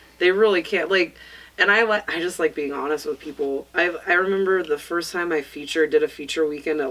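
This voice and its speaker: A woman with an American accent talks at a very fast pace with fairly even intonation. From US West, northern California (Placer County). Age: 30s. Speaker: stand-up comedian. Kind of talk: casual chat. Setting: studio.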